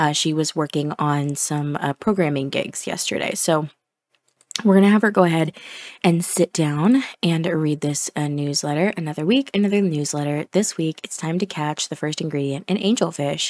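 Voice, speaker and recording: A soft-spoken woman talks at a moderate pace with a very deep, low pitch. The sound is dry and close, with no echo, and her pitch variation is ordinary. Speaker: gaming video creator. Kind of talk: casual gameplay commentary.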